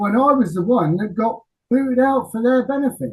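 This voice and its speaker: A man with an English accent speaks at a fairly slow pace. His tone is dark and mellow, and his pitch swings very widely. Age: 60s. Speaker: rock singer. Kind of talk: interview. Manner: halting.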